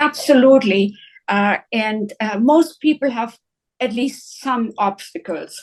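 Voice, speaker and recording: In a German accent, a woman with a fairly high pitch and ordinary pitch variation speaks at a very slow pace. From northern Germany, near Hanover. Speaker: psychiatrist. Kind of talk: interview. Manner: hesitant, many uhs.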